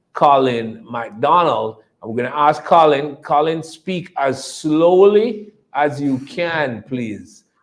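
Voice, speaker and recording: Speaking at a very slow pace with a Jamaican accent, a man uses lively intonation. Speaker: company executive. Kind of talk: investor presentation. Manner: repetitive, hesitant.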